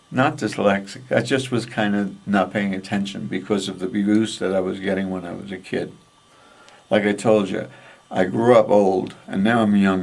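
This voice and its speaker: A New York accent at a moderate pace, with fairly even intonation. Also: man, fairly low pitch for a man. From New York (Westchester/Bronx border). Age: 70s. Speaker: artist. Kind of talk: interview, life story. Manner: casual, rambling.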